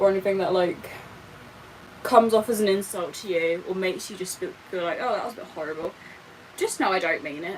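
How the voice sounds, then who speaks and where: Very fast, animated speech in a British accent, with noticeable background noise. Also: woman. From Britain. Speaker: live streamer. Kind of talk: casual livestream chat while doing makeup. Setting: livestream.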